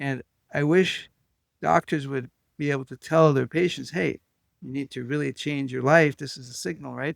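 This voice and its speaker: In a very clean, dry, close recording with no echo and a silent background, a man with a fairly high pitch speaks at a moderate pace with big swings in loudness. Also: ordinary pitch variation. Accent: Israeli. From Israel. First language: Hebrew. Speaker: clinical hypnotist and author. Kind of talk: interview conversation. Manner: halting, many fillers.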